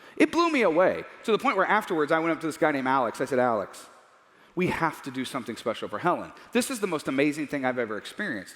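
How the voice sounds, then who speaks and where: A man talks at a very fast pace in an animated tone, his fairly high pitch swinging very widely. Noticeable background noise runs under him. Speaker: Bible teacher. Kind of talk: lecture.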